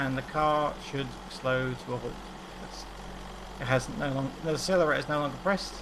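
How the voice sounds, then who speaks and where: In an English accent, a man with a fairly high pitch talks at a fairly quick pace, with ordinary pitch variation and long, frequent pauses, amid noticeable background noise and audible room echo. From England. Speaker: game development instructor. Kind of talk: tutorial. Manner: casual.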